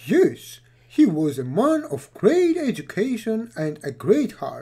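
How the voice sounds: A female-sounding, cartoonish character voice at a fairly high pitch moves through very wide pitch swings. The pace is fairly slow.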